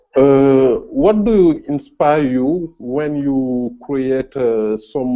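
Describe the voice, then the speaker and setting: The speaker has a French accent. Pitch varies by an ordinary amount. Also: man. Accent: French accent, self-noted. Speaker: freelance web designer, viewer. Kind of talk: casual Q&A chat. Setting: video call. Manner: halting, many hesitations.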